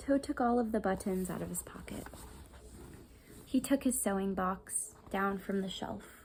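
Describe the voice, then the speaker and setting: Soft-spoken, a woman talks at a fairly slow pace. Her pauses are long and frequent. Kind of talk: children's storybook reading.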